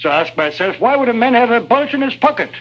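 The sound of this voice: A man puts on a character voice at an extremely high pitch, with big pitch swings. He talks at a fast pace in a fairly bright tone.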